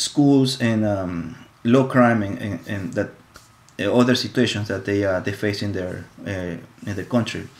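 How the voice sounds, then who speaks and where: A man talks at a fairly slow pace in a Spanish accent. His pitch is fairly low, with ordinary pitch variation. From Ecuador. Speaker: college student. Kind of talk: class presentation. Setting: live stream. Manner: halting, many fillers and repetitions.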